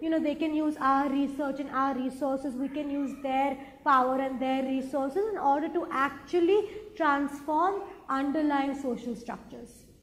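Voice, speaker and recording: Audible room echo surrounds a woman speaking at a high pitch and moderate pace with ordinary pitch variation. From India (Mumbai) and Hong Kong. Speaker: social entrepreneur, co-founder. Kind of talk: interview talk.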